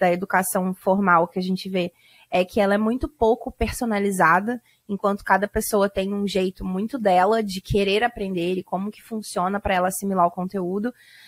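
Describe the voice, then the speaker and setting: In a dry, close sound with no echo, a woman speaks at a medium pitch and a fairly quick pace with monotone, flat intonation. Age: 30s. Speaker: translator and course creator. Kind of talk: casual interview.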